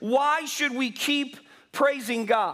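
A man projects a raised voice at an extremely high pitch and very slow pace, his tone bright and sharp over a quiet background. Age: 50s. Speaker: pastor. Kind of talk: sermon. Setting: church. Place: church.

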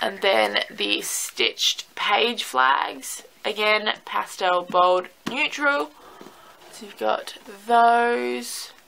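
A woman talks at a very slow pace in an Australian accent. Her loudness swings a lot. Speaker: planner sticker shop owner. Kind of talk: product showcase. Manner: hesitant, many fillers.

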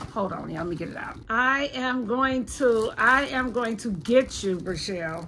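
A woman with a fairly high pitch speaks in an animated tone at a moderate pace, her intonation lively, her loudness swinging widely, with hardly any pauses and light background noise. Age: 50s. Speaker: vlogger. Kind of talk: casual vlog. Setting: at home. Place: home room. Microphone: phone near.

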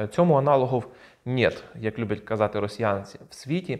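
A man at a fairly slow pace, ordinary pitch variation, and a quiet background. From Ukraine. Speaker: video blogger. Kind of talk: casual commentary on videos. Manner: informal, sarcastic. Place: home room. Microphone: lapel.

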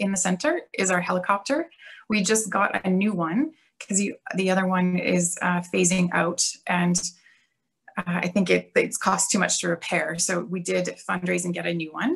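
A woman with a Canadian accent speaks at a medium pitch, somewhat breathy and with fairly even intonation, against a quiet background. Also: moderate pace. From Canada, Alberta. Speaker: police officer. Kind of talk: workshop presentation. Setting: video call. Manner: casual. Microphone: video call.

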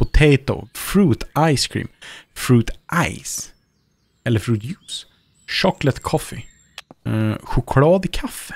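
A man's very slow speech, broken by long, frequent pauses, in a dry sound with no echo. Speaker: gaming YouTuber. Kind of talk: let's play commentary. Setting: home studio. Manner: animated.

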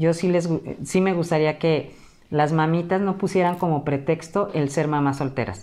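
A woman speaks at a moderate pace. Her voice has a dark, mellow tone and a fairly low pitch. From Mexico, Acapulco, Guerrero; Guerrero, Mexico. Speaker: teacher. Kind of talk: casual interview. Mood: earnest, warm. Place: home room.

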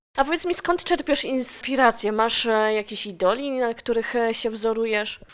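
In a normal speaking voice, a woman speaks at a moderate pace with a fairly high pitch and ordinary pitch variation. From Silesia, Poland. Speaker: radio host. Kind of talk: radio interview.

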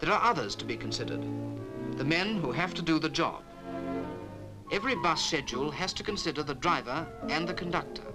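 A man speaking with clear music in the background. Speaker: documentary narrator. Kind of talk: documentary narration. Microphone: old recording.

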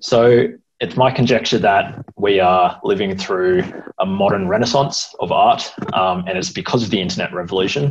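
Speaking at a moderate pace over noticeable background noise, a man with an Australian accent uses a fairly low pitch and lively intonation. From Sydney and NSW south coast. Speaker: computer science student. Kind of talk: presentation. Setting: video call. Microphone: earbuds.

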